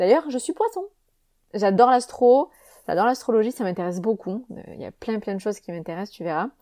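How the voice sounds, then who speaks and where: A woman with a fairly high pitch and a dark, mellow tone speaks at a fairly quick pace, her intonation lively and her loudness swinging widely. The recording is very clean with a silent background, and the sound is dry and close with no echo. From southern France, Avignon. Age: 30s. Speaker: wellness coach and podcaster. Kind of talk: casual solo monologue. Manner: hesitant, many fillers and repetitions.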